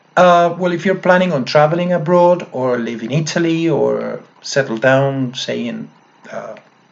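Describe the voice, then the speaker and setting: A man with a Spanish accent and a fairly high pitch. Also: ordinary pitch variation, moderate pace. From Argentina, Mendoza. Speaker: English teacher. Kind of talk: testimonial talk to camera. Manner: hesitant, many fillers.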